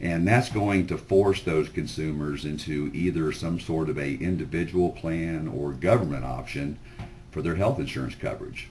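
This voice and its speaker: A man with a very deep, low pitch, lively intonation and a moderate pace. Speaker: sales presenter. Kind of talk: sales pitch webinar. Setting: webinar. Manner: loud; informal, filler-heavy.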